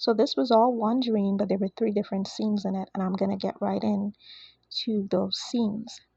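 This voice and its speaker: Here a woman talks at a moderate pace, her medium-pitched voice somewhat breathy with a dark, mellow tone. Her intonation stays fairly even. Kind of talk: prophetic dream message. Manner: quieter than usual.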